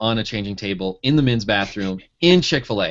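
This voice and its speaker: With a Michigan accent, a man speaks at a fairly quick pace. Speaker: pharmacy school advisor, blogger. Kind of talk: casual interview.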